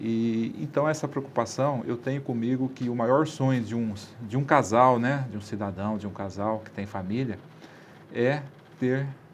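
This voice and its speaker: A man's normal speaking voice at medium pitch, fairly slow in pace, with ordinary pitch variation. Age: 60s. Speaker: city councillor. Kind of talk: interview. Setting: studio.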